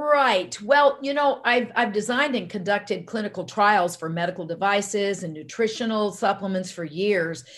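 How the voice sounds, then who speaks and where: Speaking at a moderate pace with hardly any pauses, a woman with an American accent uses a medium pitch and lively intonation. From US South, army brat raised across the US. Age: 60s. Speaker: holistic medicine doctor. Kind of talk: interview. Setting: remote call.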